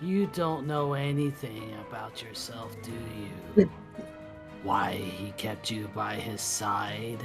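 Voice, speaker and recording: A put-on character voice at a low pitch and a very slow pace, over loud music in the background. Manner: creepy.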